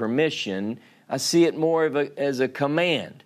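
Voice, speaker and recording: On a very clean recording with a silent background, a man speaks with a Louisiana accent. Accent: Louisiana southern. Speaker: Bible teacher. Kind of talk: sermon.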